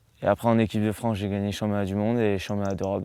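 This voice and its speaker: Here a man speaks with a fairly low pitch. His intonation stays monotone and flat. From Marseille, France (born in the United States). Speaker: professional golfer. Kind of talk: interview answer. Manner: casual, hesitant.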